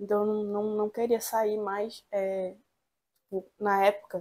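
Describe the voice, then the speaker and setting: This woman has a dark, mellow tone and talks at a fairly slow pace. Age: 20s. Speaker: law student. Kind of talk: interview. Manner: halting.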